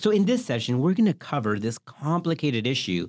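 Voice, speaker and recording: This man talks at a fairly quick pace with an American accent, his pitch swinging very widely. The recording is very clean, with a silent background. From US South. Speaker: OB-GYN physician, podcast host. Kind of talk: educational podcast chat. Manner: animated.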